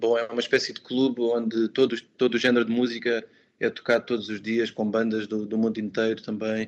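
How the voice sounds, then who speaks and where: A man talks at a fairly quick pace in a medium pitch. His intonation is flat and monotone. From Portugal, Alverca do Ribatejo. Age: 30s. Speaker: musician and language teacher. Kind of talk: interview. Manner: hesitant, many fillers.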